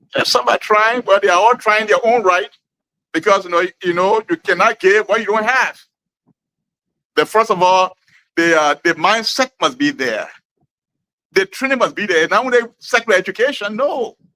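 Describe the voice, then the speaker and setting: A man speaks in a raised, projected voice at a moderate pace, with long, frequent pauses. His pitch is high and his tone is bright and sharp. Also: ordinary pitch variation, dry, close sound with no echo. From Liberia, Grand Gedeh County. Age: 60s. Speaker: community elder. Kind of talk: interview. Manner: halting.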